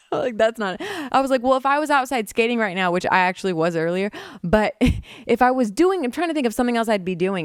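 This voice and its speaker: Her voice fairly high and swinging very widely in pitch, a woman speaks in an animated tone on a very clean recording with a silent background. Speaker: podcast host. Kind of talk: casual monologue.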